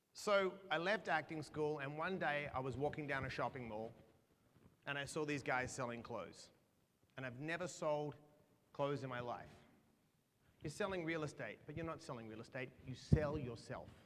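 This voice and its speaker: A man in an Australian accent, fairly high in pitch, with ordinary pitch variation, a moderate pace and long, frequent pauses. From Australia (Perth). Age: 40s. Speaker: motivational speaker. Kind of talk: keynote speech.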